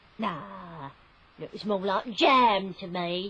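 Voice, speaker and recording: Using a put-on character voice, a woman speaks at a medium pitch with ordinary pitch variation. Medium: old radio play.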